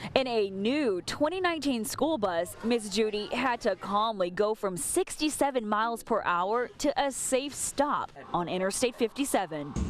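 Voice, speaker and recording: A woman with a fairly high pitch talks at a moderate pace, her pitch swinging very widely while her loudness stays very even. She barely pauses, and noticeable background noise is present. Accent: American. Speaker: TV news anchor and reporter. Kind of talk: TV news package narration.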